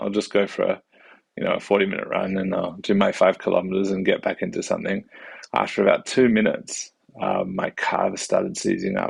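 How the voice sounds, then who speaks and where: The speaker moves at a fairly quick pace with an Australian accent. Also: man. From Western Australia, Perth. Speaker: family doctor and vlogger. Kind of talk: casual vlog monologue. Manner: halting, many fillers.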